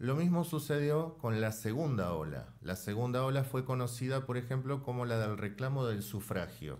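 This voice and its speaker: A man at medium pitch and moderate pace, with lively intonation, very even loudness and hardly any pauses. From Argentina. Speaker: author and political science lecturer; political science lecturer. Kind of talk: interview. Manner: measured, explanatory. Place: studio. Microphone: studio mic.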